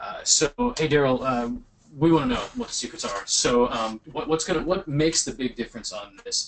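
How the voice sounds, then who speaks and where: The voice swings very widely in pitch and greatly in loudness, with noticeable background noise behind it. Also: man. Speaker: webinar host. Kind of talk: webinar interview. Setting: online webinar. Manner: fast.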